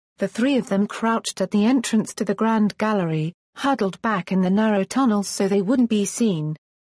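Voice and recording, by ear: The text is read aloud in a natural voice.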